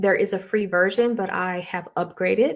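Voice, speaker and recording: This soft-spoken voice moves at a fairly slow pace with ordinary pitch variation. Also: woman. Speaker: academic hosting live Q&A. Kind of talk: live Q&A tutorial. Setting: live stream.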